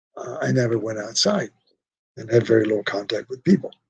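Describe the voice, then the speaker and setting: Somewhat breathy, the man speaks with lively intonation. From Poland. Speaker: Holocaust survivor. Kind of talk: talk to students.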